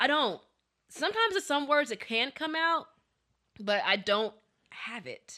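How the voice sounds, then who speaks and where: In an American accent, this raised, projected voice has a bright, sharp tone and very wide pitch swings. Long pauses come often. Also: woman, high pitch for a woman. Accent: lacks southern drawl. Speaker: podcast co-host. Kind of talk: casual chat. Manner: fast.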